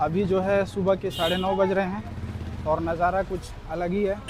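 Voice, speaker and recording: Against noticeable background noise, a man talks in a high, monotone voice. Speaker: travel vlogger. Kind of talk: travel vlog narration. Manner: casual, conversational.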